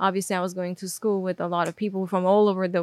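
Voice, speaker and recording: Speaking at a fairly quick pace, a woman with an Armenian accent talks at a medium pitch. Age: 20s. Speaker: video creator. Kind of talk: interview.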